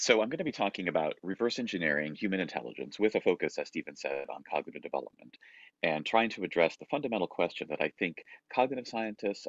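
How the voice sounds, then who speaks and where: Very wide pitch swings mark this man's very fast speech, heard over a quiet background in a dry sound with no echo. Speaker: keynote speaker. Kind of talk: lecture. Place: home room. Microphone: webcam.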